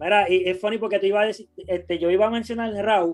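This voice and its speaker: Delivered at a moderate speed, the speech keeps a fairly even intonation. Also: man. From Puerto Rico, Guayama. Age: 30s. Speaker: sneaker YouTuber and video director. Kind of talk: casual chat. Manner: halting.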